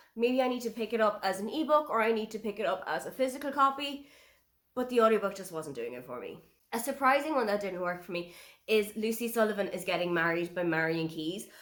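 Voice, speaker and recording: Speaking at a very fast pace, a woman with an Irish accent has a fairly high pitch. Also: lively intonation, big swings in loudness. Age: 30s. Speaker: book reviewer. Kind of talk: casual review monologue.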